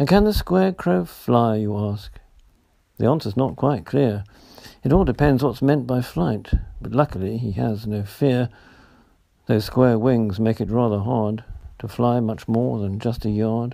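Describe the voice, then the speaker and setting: A man with a British accent speaks in a dark, mellow tone with ordinary pitch variation. He leaves long, frequent pauses. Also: medium pitch for a man, fairly slow pace. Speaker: poet reading own work. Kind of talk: poet reading own humorous verse aloud. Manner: playful, lightly comic, rhythmic sing-song delivery.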